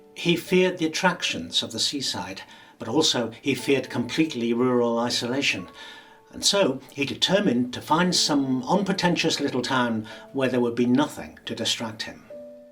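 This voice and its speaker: A man's medium-pitched voice at a moderate pace, lively in intonation, over noticeable background noise. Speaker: professional actor. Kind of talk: audiobook ghost story reading.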